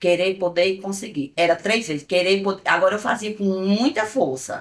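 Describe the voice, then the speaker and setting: A woman talks in a medium-pitched voice, keeping to a moderate pace. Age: 60s. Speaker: businesswoman and senior blogger. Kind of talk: documentary interview testimony.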